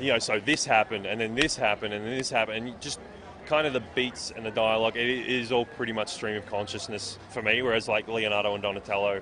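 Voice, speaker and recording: Very fast speech in an Australian accent with fairly even intonation, over noticeable background noise. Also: man, medium pitch for a man. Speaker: comic book writer and artist. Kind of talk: interview. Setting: comic convention. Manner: hesitant, many fillers and repeats.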